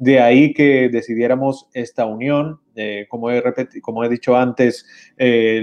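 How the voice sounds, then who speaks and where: A man's medium-pitched voice with fairly even intonation, over a quiet background. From Spain, Valencia. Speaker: trade chamber president. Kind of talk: interview. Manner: halting.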